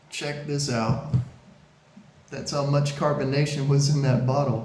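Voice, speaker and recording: A man with a fairly high pitch speaks at a moderate pace in a flat, monotone way, with audible room echo and noticeable background noise. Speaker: beer reviewer. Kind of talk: product review video. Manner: hesitant, many fillers.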